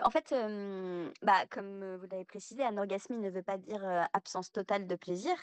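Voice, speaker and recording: The sound is dry and close, with no echo. A woman talks at a medium pitch and a moderate pace. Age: 30s. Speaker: guest sharing personal testimony. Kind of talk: testimony.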